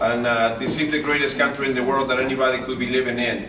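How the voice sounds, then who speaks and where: A man talks at a fairly quick pace through audible room echo and noticeable background noise. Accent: Spanish. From Uruguay. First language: Spanish. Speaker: motivational speaker. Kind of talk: motivational speech. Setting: stage with audience.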